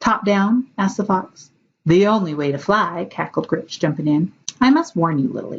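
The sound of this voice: Lively intonation in an unforced reading voice, with a quiet background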